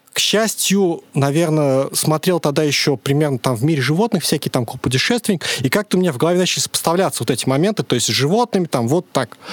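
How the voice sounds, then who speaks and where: A man at a fairly high pitch, very fast and almost pauseless, lively in intonation and very even in loudness, with a dry, close sound and no echo. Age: 30s. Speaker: podcast guest. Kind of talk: casual chat. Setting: studio.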